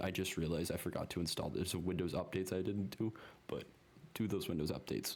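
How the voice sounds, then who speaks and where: A man's very deep, low voice with vocal fry, ordinary pitch variation and a fairly quick pace. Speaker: programming tutorial creator. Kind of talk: screen-recorded coding tutorial. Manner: fast; casual, halting with many ums.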